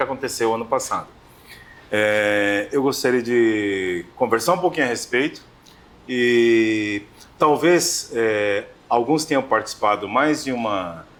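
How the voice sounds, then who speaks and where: A man speaks in a plain, everyday voice at medium pitch, moderate in pace, with lively intonation. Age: 50s. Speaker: round-table moderator. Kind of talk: round-table discussion.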